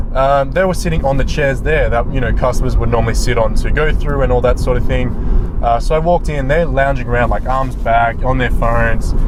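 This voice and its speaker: With an Australian accent, a man talks at a fairly quick pace and very even loudness, with noticeable background noise and audible room echo. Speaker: sports reporter. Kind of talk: casual vlog monologue. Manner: hesitant, many fillers.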